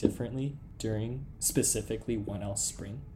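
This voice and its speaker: Somewhat breathy speech with ordinary pitch variation carries audible room echo. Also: man. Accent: West Coast American. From Los Angeles, US. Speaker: law student podcast co-host. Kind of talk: casual chat.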